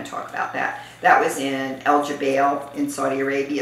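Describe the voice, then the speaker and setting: The room echo is audible. Light background noise sits underneath. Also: woman. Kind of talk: interview answer. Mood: relaxed, occasionally laughing. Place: home room.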